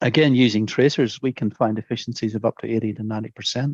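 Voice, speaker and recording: Speaking very fast with a Northern Irish accent, a man keeps his intonation fairly even in a dry, close sound with no echo. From Northern Ireland, Antrim. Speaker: soil scientist, professor. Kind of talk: interview answer.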